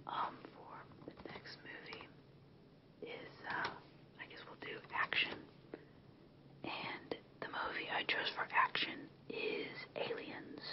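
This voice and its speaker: Whispering at a very slow pace, a woman leaves long, frequent pauses. Noticeable background noise is present. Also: big swings in loudness. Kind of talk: ASMR movie recommendation talk to camera. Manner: whispered, soft-spoken, relaxing.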